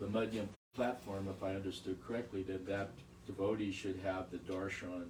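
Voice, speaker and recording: The voice moves at a moderate pace with fairly even intonation, and audible room echo surrounds it. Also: man, fairly low pitch for a man. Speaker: devotee asking a question. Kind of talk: question from the audience. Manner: loud.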